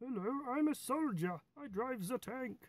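Extremely high-pitched put-on character voice from a male speaker. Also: moderate pace.

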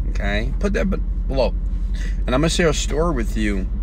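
Over noticeable background noise, a man's voice comes through dry, with no echo. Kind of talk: motivational live stream talk. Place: car. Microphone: earbuds.

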